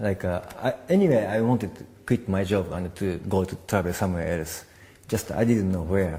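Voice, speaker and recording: In a Japanese accent, a man speaks with a very deep, low pitch and a dark, mellow tone. His voice is somewhat breathy at a moderate pace. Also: ordinary pitch variation. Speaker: documentary filmmaker. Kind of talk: interview. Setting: film festival. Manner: halting.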